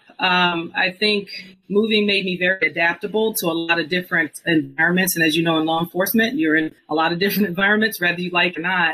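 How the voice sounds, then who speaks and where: A woman talks at a fairly quick pace in a plain, everyday voice, with medium pitch and ordinary pitch variation. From US, mostly Georgia. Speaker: former police officer. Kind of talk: interview testimony.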